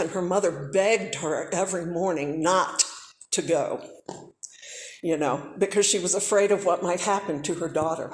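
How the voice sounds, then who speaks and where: A woman with an American accent at a moderate pace, audible room echo around her. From US South. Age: 60s. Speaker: civil rights era witness. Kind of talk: talk to students. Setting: church.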